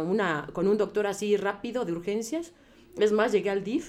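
Her moderate pace and medium pitch, with ordinary pitch variation, make up an unremarkable speaking voice for this woman. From Mexico, Puebla. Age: 40s. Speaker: patient, teacher. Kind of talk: testimony.

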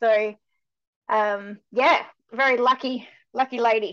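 The tone is fairly bright. The pitch moves very little. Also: woman.

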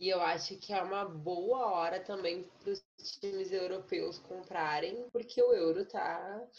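A woman speaks in an ordinary speaking voice at medium pitch. Her intonation is fairly even and her pace fairly slow. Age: 20s. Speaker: lawyer. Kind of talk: casual chat.

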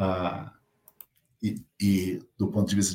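In a fairly low-pitched, somewhat breathy voice, a man speaks. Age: 50s. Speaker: company CEO. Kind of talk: interview. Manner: hesitant, many fillers.

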